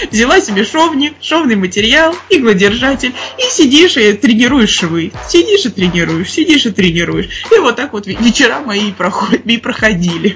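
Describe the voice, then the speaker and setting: At a moderate pace, a woman with a fairly high pitch speaks with very wide pitch swings over noticeable background noise. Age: 20s. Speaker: dental surgeon. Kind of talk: casual chat. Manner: animated.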